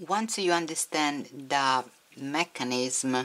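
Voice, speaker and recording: A woman's very deep, low voice with lively intonation and a non-native accent. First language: not English. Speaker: crochet tutorial maker. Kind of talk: tutorial.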